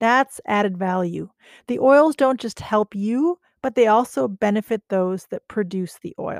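In a dry, close sound with no echo and a very clean recording with a silent background, a woman with an American accent and an ordinary speaking voice talks at a fairly slow pace with fairly high pitch and lively intonation. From United States. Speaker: podcast host. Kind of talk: interview intro and conversation.

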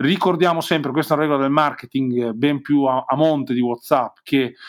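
In a Romagnolo accent, a man speaks at a fairly quick pace and a fairly high pitch. His intonation stays fairly even, and the recording is very clean with a silent background. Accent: Romagnolo Italian. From Romagna, Forlì. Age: 40s. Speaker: digital marketing consultant. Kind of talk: interview.

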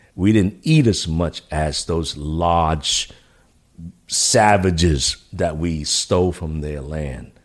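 In a New York accent, a man speaks with a very deep, low pitch on a very clean recording with a silent background. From New York City. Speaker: military veteran and former career advisor. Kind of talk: casual chat. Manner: halting.

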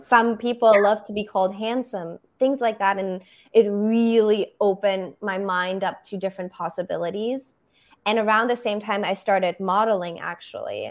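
A woman at medium pitch with a German accent, fairly even intonation and a moderate pace. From Germany, Berlin. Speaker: photographer.

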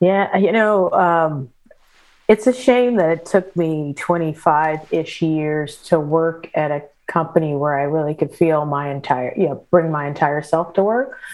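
With an American accent, a woman in an ordinary speaking voice talks at a fairly slow pace, her fairly low pitch showing ordinary variation. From US Midwest, St. Louis area, Missouri. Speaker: business executive. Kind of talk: interview.

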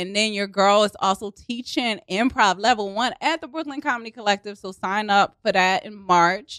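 A woman speaks in an animated tone with a Baltimore accent, her pitch varying in an ordinary way and her loudness swinging widely. She hardly pauses, and the sound is dry and close with no echo. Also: medium pitch for a woman, moderate pace. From Baltimore, Maryland. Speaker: improv comedian and actress. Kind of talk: casual chat. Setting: studio.

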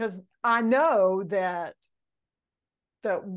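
A woman speaks with a Mississippi accent and lively intonation. The background is quiet. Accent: Southern US (Mississippi). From Mississippi, small town. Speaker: leadership mentor, former pastor's wife. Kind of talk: podcast interview. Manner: animated.

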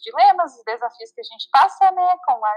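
Very wide pitch swings run through this moderately paced voice, recorded with a dry, close sound and no echo. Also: woman. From southern Brazil (Santa Catarina). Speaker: vegan guest. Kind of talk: casual chat. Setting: remote call.

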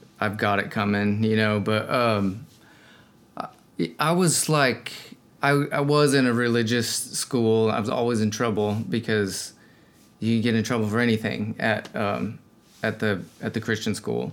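A man with an American accent speaks at a medium pitch with ordinary pitch variation. His pace is fairly slow, with long, frequent pauses. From Colorado. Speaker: singer-songwriter. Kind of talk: casual chat.

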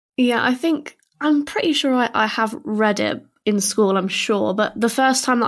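A woman with a British accent and a fairly high pitch talks at a fairly slow pace in a very clean recording with a silent background. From southern England. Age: 20s. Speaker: actor. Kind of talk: casual chat.

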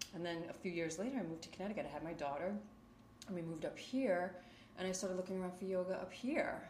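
A woman's fairly low voice in a New York accent, very fast pace, audible room echo. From Queens, New York. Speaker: yoga teacher. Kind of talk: interview. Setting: home yoga studio.

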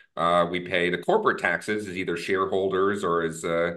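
A man with an American accent talks at a moderate pace in a very deep, low pitch. His intonation is monotone and flat, over a quiet background. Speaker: think tank researcher. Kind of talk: interview conversation. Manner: hesitant, filler words.

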